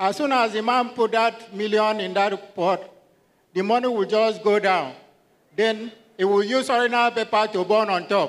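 With a Nigerian accent, the speaker keeps a moderate pace and fairly even intonation. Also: man, high pitch for a man. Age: 60s. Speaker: retired teacher. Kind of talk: testimony. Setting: church.

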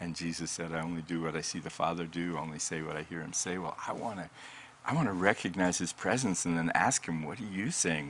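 Over noticeable background noise, a man with an American accent speaks in a very deep, low pitch with ordinary pitch variation. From Colorado, US. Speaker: pastor and author. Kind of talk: faith-based interview.

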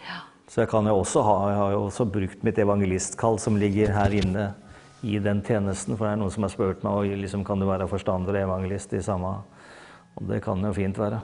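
Speaking fairly quickly, a man with a fairly low pitch and a dark, mellow tone keeps a flat, monotone delivery. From Hurum, eastern Norway. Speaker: pastor. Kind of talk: testimony. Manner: halting.

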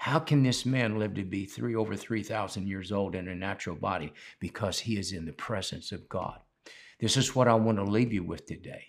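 This man has a normal speaking voice pitched fairly low, with ordinary pitch variation. The recording is very clean, the background silent. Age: 60s. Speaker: pastor. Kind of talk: sermon.

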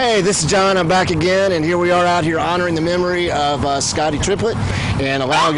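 Over noticeable background noise, a man with an American accent talks at a very fast pace in a high pitch, his intonation fairly even. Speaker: podcast host and police union steward. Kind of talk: casual on-location podcast chat. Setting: outdoors at a fundraising event.

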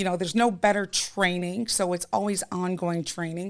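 Speaking with a plain, everyday voice, a woman with an American accent uses medium pitch, ordinary pitch variation and a moderate pace in a very clean recording with a silent background. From New York. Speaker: timeshare sales rep. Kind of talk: casual interview chat.

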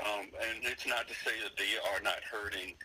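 Noticeable background noise sits behind the speaker. A man talks at a fairly quick pace. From Richmond, Virginia, US. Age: 60s. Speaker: community leader and recording artist. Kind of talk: interview.

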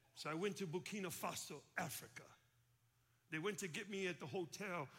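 A man with an American accent speaks at a high pitch in a bright, sharp tone, at a moderate pace. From Chicago, US. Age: 50s. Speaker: pastor. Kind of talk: sermon. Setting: church with congregation.

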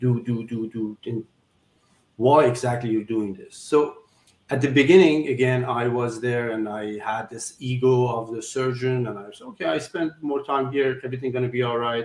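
In a Persian accent, a man speaks at a moderate pace. His pitch is medium and his intonation fairly even. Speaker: surgeon and philanthropist guest. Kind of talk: interview conversation. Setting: video call. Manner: halting, non-native English.

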